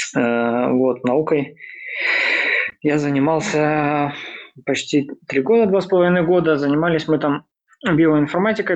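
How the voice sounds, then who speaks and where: Using a plain, everyday voice, a man speaks in a fairly high pitch with ordinary pitch variation. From Belarus. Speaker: software developer.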